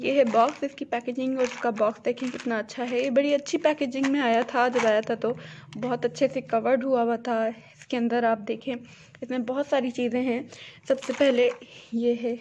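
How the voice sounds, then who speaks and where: Against light background noise, a woman speaks in a high, monotone voice with flat intonation at a fairly slow pace. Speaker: crafter reviewing a kit. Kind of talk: product review tutorial. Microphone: phone near.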